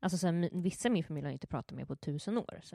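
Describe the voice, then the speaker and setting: In a very clean recording with a silent background and a dry, close sound without echo, a woman speaks very fast with ordinary pitch variation. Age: 20s. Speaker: entertainment editor and blogger. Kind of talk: casual chat.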